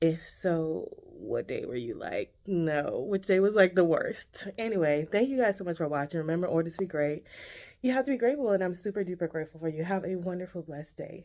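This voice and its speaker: With a dark, mellow tone and lively intonation, a woman speaks at a fairly quick pace. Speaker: lifestyle vlogger. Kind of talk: casual vlog. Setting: office at work. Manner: quiet, talking low in office.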